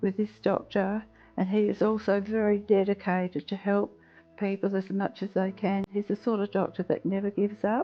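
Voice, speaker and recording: With an Australian accent, a woman speaks at a moderate pace. Her intonation is monotone and flat. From Western Australia. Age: 70s. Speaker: patient. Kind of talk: interview answer.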